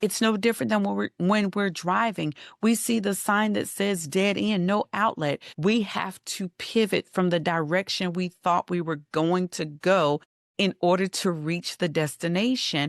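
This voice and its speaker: A woman's fairly slow speech in a normal speaking voice, with ordinary pitch variation, a dry, close sound with no echo and a quiet background. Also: medium pitch for a woman. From Western North Carolina. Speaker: life coach. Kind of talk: podcast interview.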